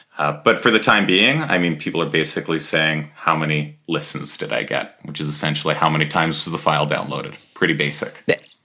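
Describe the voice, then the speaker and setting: With hardly any pauses, a man with a Canadian accent talks at a very fast pace in a very deep, low pitch and fairly even intonation, over noticeable background noise. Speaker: startup co-founder. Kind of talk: casual interview chat.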